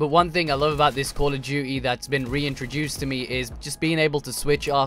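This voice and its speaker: With music in the background, a man speaks fairly quickly at medium pitch. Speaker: gaming youtuber. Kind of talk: gameplay commentary. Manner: fast; animated.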